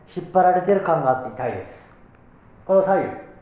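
In a room with audible echo, a man speaks at a high pitch. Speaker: fitness instructor. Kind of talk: tutorial. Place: gym. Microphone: camera far.

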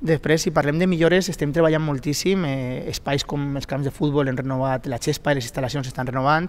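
Speaking fairly quickly with hardly any pauses, a man holds a fairly high pitch and fairly even intonation. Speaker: district council president. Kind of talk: heated debate. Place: studio. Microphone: headset.

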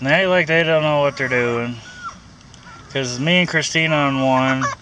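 With noticeable background noise but a dry sound and no echo, a man speaks at a fairly slow pace with fairly high pitch. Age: 30s. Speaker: vlogger. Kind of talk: casual vlog. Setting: in a car. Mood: grumbling about costs. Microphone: phone near.

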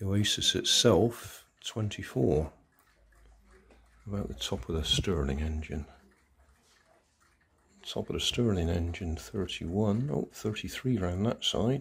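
Light background noise sits behind a man with vocal fry and a fairly low voice. He speaks at a very slow pace with long, frequent pauses. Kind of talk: tutorial. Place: home room. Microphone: phone near.

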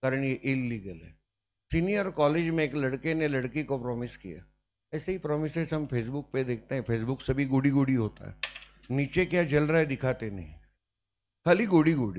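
A man's fairly high voice moves at a fairly slow pace with lively intonation and big swings in loudness. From Maharashtra, India. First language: Marathi (speaking Hindi). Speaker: teacher. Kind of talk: lecture. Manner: animated. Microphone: handheld.

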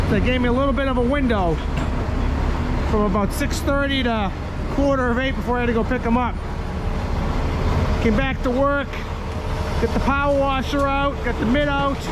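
The speech moves at a moderate pace with long, frequent pauses. Loud background noise runs beneath it. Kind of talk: casual vlog chat. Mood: proud, slightly exasperated. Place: street. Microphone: phone near.

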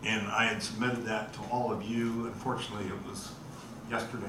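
A man talks at a fairly quick pace, with noticeable background noise and audible room echo around his voice. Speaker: presenter. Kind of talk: meeting presentation. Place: meeting room.

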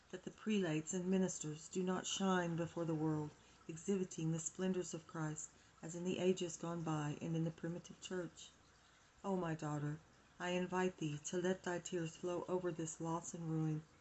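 Over light background noise, a woman talks at a moderate pace in a fairly low voice with flat, monotone intonation. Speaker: home reader of devotional text. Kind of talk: reading aloud. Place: home room. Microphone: phone near.

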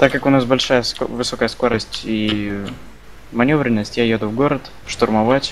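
A plain, everyday voice from a man at medium pitch, moderate pace and fairly even intonation. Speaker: gaming streamer. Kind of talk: casual gameplay chat.

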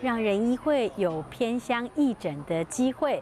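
A woman's fairly high voice at a fairly slow pace, with light background noise. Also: dry sound with no echo. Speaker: nurse. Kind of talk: birthday speech of thanks. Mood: warm, grateful. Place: street. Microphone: lapel.

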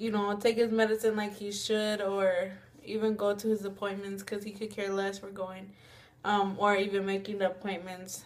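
A woman speaks at a moderate pace with monotone, flat intonation. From Mexican-American. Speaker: vlogger. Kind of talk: casual talk to camera. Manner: hesitant, frequent fillers. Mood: serious, reflective. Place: home room. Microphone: webcam.

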